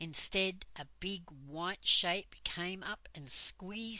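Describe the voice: This is plain reading aloud. Its pitch varies in an ordinary way.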